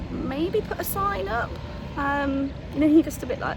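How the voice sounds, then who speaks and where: A woman in an English accent with very wide pitch swings, a moderate pace and noticeable background noise. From England. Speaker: travel vlogger. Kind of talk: casual vlog talk to camera.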